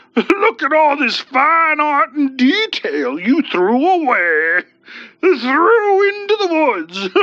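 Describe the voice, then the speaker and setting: A woman does a put-on character voice, high in pitch with very wide pitch swings. Her pace is very slow. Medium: read story. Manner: folksy, chummy and mocking.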